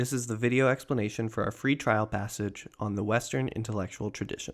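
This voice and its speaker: Recorded very cleanly against a silent background, a man with an ordinary speaking voice talks at a medium pitch and a fairly quick pace with ordinary pitch variation. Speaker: test prep tutor. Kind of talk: tutorial.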